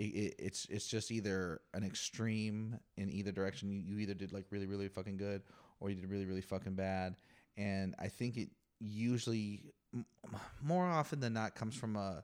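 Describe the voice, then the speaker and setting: Long, frequent pauses mark a man's speech at a moderate pace. His voice is fairly low, with ordinary pitch variation. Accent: American. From southern California low desert. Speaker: podcast host. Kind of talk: casual chat. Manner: animated.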